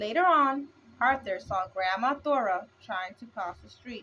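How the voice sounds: Bright and sharp in tone, a woman speaks at a fairly high pitch and fairly slow pace with lively intonation.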